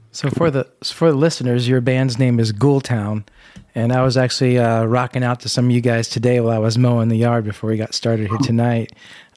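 A man with an American accent speaks at a fairly quick pace and medium pitch with monotone, flat intonation. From US Midwest, Indiana. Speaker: podcast co-host.

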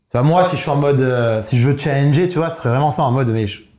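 A man speaks at a fairly high pitch, his somewhat breathy voice carrying a dark, mellow tone. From southern France. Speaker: entrepreneur panelist. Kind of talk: casual business panel chat.

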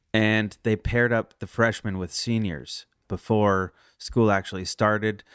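A man with a West Coast accent, fairly low in pitch, with fairly even intonation, in a dry, close sound with no echo against a quiet background. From Northern California. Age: 30s. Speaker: musician. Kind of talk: casual interview.

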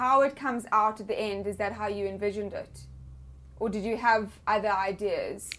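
A woman with a South African accent speaks at a moderate pace. Her fairly high voice has a monotone, flat intonation. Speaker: podcast host. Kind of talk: casual interview. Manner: playful.

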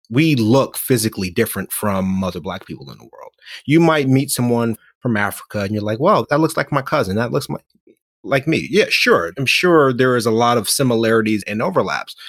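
Here a man has a normal speaking voice at medium pitch. His pace is fairly quick and his intonation lively. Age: 40s. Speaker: author and motivational speaker. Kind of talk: casual interview chat.

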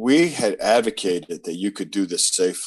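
At a moderate pace, a man with an American accent uses an unremarkable speaking voice, a fairly low pitch and lively intonation. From US South. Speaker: labor union leader. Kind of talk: interview.

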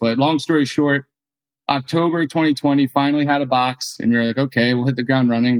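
A man with an American accent talks at a very fast pace, his intonation fairly even. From New Jersey, near Philadelphia. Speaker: beverage startup co-founder. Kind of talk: interview.

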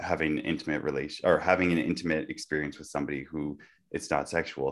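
This man talks at a very fast pace, his voice carrying vocal fry. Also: very clean recording, silent background. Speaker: podcast co-host. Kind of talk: casual discussion podcast.

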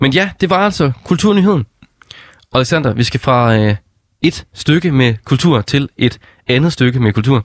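A man's lively intonation at a fairly slow pace, with long, frequent pauses, very even loudness and a dry, close sound with no echo. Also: medium pitch for a man. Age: 20s. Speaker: stand-in radio host. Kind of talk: casual radio chat.

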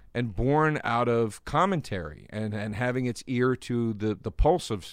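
Against a quiet background, a man talks at medium pitch with ordinary pitch variation. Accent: American. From US East Coast. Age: 40s. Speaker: comedian. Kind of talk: casual chat. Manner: mumbling.

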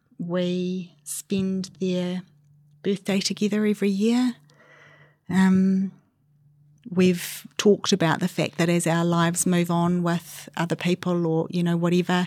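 Speaking with a New Zealand accent, a woman talks at a fairly slow pace and a fairly low pitch. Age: 40s. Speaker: interviewee sharing fertility story. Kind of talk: personal testimony interview. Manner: halting.

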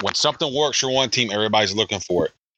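In an American accent, a man with a bright, sharp tone and ordinary pitch variation speaks against a quiet background, the sound dry and close with no echo. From South Carolina. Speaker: podcast co-host, sports editor. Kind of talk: casual chat. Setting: home basement.

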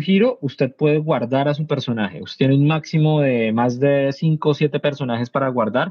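A man speaks with a plain, everyday voice at a fairly quick pace. His pitch sits fairly high, with ordinary variation. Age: 30s. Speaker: video game writer. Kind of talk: casual chat.

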